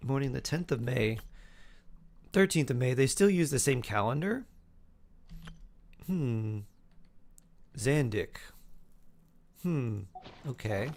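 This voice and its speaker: Speaking very slowly with long, frequent pauses, a man with an American accent uses lively intonation. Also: medium pitch for a man. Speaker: game streamer. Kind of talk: casual chat. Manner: animated.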